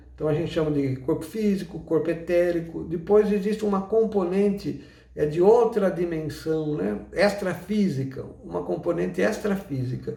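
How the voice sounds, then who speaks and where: With audible room echo, a man speaks at a high pitch in a dark, mellow tone, keeping a moderate pace with hardly any pauses and ordinary pitch variation. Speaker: umbanda teacher. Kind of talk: lecture.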